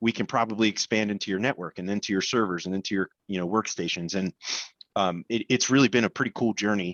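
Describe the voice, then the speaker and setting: Speaking at a very fast pace, a man uses a fairly low pitch and fairly even intonation. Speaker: MSP business owner. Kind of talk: panel discussion. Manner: halting.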